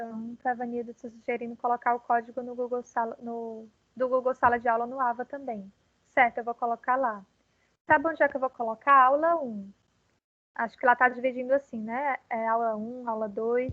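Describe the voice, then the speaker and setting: A woman's high pitch with monotone, flat intonation and big swings in loudness. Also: moderate pace. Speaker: university lecturer. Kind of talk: online class lecture. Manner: calm, hesitant with fillers.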